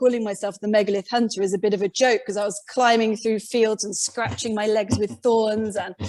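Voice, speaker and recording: With a British accent, the speaker keeps a moderate pace and hardly any pauses. The intonation is monotone and flat, on a very clean recording with a silent background. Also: woman. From Britain. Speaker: independent megalith researcher. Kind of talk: podcast interview.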